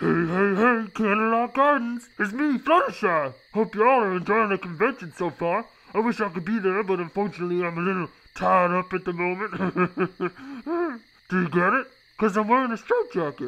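A cartoonish character voice pitched in the middle range. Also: moderate pace. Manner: chummy, then irritated and shouting.

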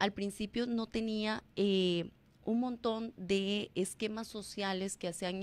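With fairly even intonation, a woman talks in an ordinary speaking voice. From Costa Rica. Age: 40s. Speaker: former teacher and public personality; former teacher. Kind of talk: radio interview. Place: studio. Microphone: studio mic.

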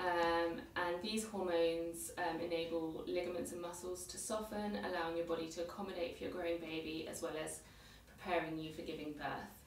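Amid light background noise and audible room echo, a woman speaks fairly quickly at a fairly low pitch with fairly even intonation. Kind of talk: educational presentation. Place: office. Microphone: camera far.

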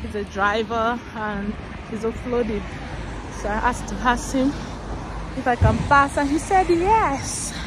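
With noticeable background noise and a dry sound without echo, a woman with a high pitch speaks fairly slowly, using ordinary pitch variation and long, frequent pauses. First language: not English. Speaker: vlogger. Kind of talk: casual vlog monologue. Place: street. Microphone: phone near.

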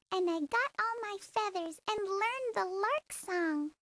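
The pace of this put-on character voice is fairly slow. Its tone is squeaky. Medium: read story. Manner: sweet, rhyming.

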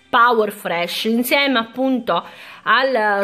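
Spoken at a very slow pace, the voice has a bright, sharp tone and lively intonation. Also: woman. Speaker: beauty product youtuber; beauty haul vlogger. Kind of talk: product haul video. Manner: casual, chatty. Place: home room. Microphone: phone near.

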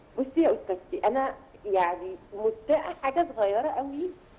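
A woman's voice at a fairly slow pace with very wide pitch swings. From Egypt. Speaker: journalist. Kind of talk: TV interview. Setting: phone call.

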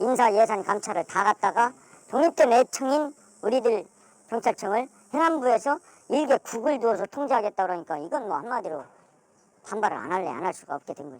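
A woman with a fairly high pitch speaks at a fairly quick pace, with very wide pitch swings and big swings in loudness. Long, frequent pauses break her speech, and the sound is dry and close with no echo. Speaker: police officer. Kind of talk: interview. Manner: casual, conversational.

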